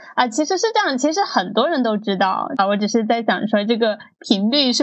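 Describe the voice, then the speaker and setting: A woman with an ordinary speaking voice talks at a fairly quick pace with a fairly high pitch. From Guangdong. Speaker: podcast host. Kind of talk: podcast interview.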